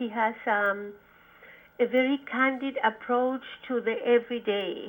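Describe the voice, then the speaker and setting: A woman speaks at a fairly slow pace with a Spanish accent, her intonation monotone and flat. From Chile, Santiago. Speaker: poet and professor. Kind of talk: interview. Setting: phone call.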